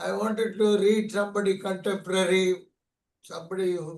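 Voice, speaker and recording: An Indian accent shapes the speech. It moves at a moderate pace. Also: man. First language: an Indian language. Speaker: poet. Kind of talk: casual chat. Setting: video call.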